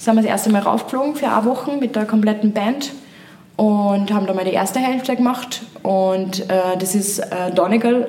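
Her voice is fairly high. Background noise is noticeable, and the room echo can be heard. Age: 20s. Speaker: singer-songwriter. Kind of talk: casual interview.

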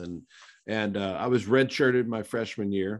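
A man with an American accent speaks in a normal speaking voice at a fairly low pitch and a moderate pace against a quiet background. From western Pennsylvania. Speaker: former pro football player. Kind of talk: casual interview.

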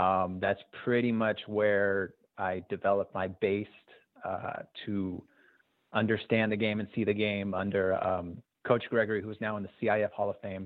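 With an American accent, a man speaks at a moderate pace in a fairly low voice with monotone, flat intonation. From Southern California (Azusa). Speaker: youth basketball coach and game videographer. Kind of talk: casual interview.

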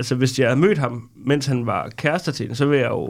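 This man's voice sits at a fairly high pitch and shows ordinary pitch variation. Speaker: comedian. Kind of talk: casual chat.

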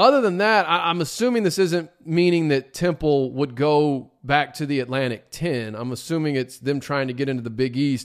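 In a very clean recording with a silent background, a man with a plain, everyday voice speaks with ordinary pitch variation. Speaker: college sports podcast host. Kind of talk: casual solo commentary.

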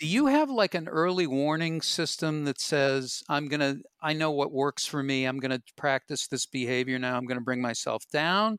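A man's normal speaking voice, fairly high in pitch with ordinary pitch variation, at a moderate pace with hardly any pauses, in a very clean recording with a silent background and a dry, close sound with no echo. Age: 60s. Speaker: comedian and podcast host. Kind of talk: casual chat.

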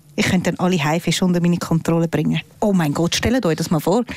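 A woman with a medium-pitched voice talks at a fairly quick pace in an animated tone, with noticeable background noise. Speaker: podcast co-host. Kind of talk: casual chat.

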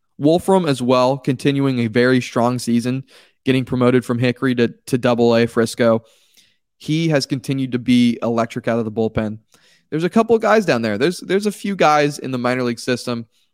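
With a plain, everyday voice, a man speaks at a fairly quick pace and medium pitch in a dry, close sound with no echo. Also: ordinary pitch variation. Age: 20s. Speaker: baseball podcast host. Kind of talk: solo sports podcast commentary.

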